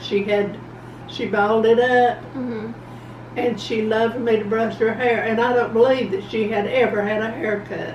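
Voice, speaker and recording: A woman speaks in a fairly high voice with monotone, flat intonation. There is noticeable background noise. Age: 80s+. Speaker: grandmother. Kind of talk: interview answer. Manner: slow, hesitant.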